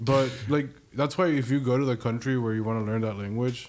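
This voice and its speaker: Speech in a Spanish accent moves at a moderate pace with fairly even intonation. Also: man. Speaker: PhD student. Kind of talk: casual chat.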